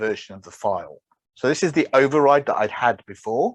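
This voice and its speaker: A man's voice full of vocal fry and very wide pitch swings, dry and close with no echo, over a quiet background. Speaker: software developer and conference speaker. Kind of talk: presentation.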